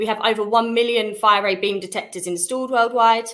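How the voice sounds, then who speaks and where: The pace is on the brisk side. She has a British accent. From UK. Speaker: sales representative. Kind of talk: webinar product presentation. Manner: fast.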